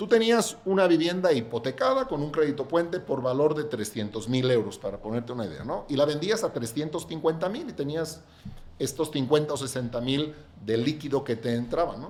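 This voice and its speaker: Over noticeable background noise, a man talks at a fairly quick pace with a fairly high pitch and lively intonation. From Catalonia, Spain. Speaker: real estate developer. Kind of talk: podcast interview.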